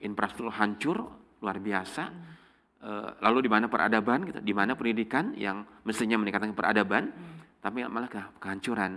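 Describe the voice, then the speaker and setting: A man with a fairly low pitch and a bright, sharp tone talks at a fairly quick pace. His loudness swings a lot, while his pitch varies in an ordinary way. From Subang, West Java, Indonesia; West Java, Indonesia. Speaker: law professor and faculty dean; law professor. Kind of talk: casual interview. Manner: hesitant, many fillers. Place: studio. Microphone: lapel.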